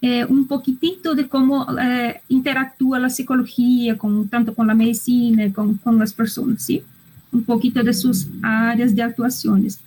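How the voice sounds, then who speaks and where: A woman speaks at a fairly slow pace with a non-native accent. Her pitch is high, with ordinary variation. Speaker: psychologist and medical school lecturer. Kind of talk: online lecture. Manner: halting, with hesitations and repetitions.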